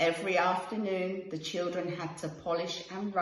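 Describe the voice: Someone reads aloud. The reading is plain.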